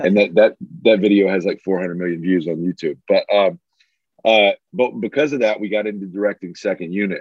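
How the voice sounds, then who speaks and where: This man has a plain, everyday voice, fairly low in pitch, with an American accent and a moderate pace. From Alabama, US South. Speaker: filmmaker. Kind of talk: interview.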